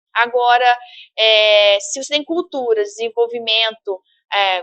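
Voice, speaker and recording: The woman's voice sits fairly high, with ordinary pitch variation and a dry, close sound free of echo. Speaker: university professor. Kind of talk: lecture. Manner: halting, many fillers and repetitions.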